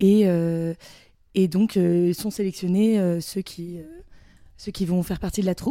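A woman's medium-pitched voice with a dark, mellow tone and fairly even intonation, at a fairly slow pace with long, frequent pauses, on a very clean recording with a silent background. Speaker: student actor, theatre club member. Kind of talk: casual interview.

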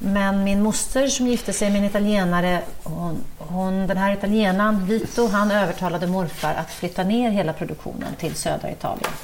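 A woman's medium-pitched voice with fairly even intonation, moderate pace and hardly any pauses, amid noticeable background noise and audible room echo. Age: middle-aged. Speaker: cookbook author and TV chef. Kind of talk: casual chat while cooking.

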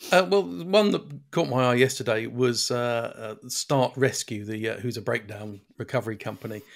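A man with a British accent, talking at a moderate pace with lively intonation. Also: medium pitch for a man. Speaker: podcast co-host, car reviewer.

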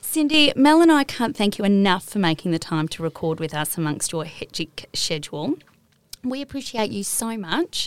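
A woman with an Australian accent, medium pitch and very wide pitch swings at a moderate pace, in a very clean, silent-background recording with a dry, close sound and no echo. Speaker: podcast host. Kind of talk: casual interview; reading intro. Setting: studio.

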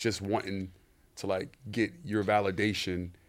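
A man with an American accent and a plain, everyday voice, fairly low in pitch with fairly even intonation, in a very clean recording with a silent background. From US, urban projects neighborhood. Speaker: sneaker store owner. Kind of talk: casual interview.

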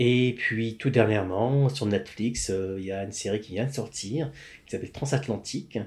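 The speaker is somewhat breathy, keeps a moderate pace, and shows ordinary pitch variation. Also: man, medium pitch for a man. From Quebec, Montreal. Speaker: film script supervisor. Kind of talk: casual interview. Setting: coworking space.

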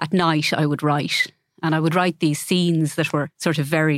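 At a fairly quick pace, a woman with a very deep, low pitch speaks with fairly even intonation. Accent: Irish Midlands. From Ireland, County Laois. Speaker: novelist, former lawyer. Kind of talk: interview conversation.

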